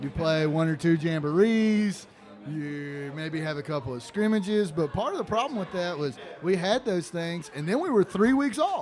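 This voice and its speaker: The voice is loud, with lively intonation at a moderate pace. Noticeable background noise runs underneath. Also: man, high pitch for a man. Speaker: high school football commentator. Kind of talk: live commentary.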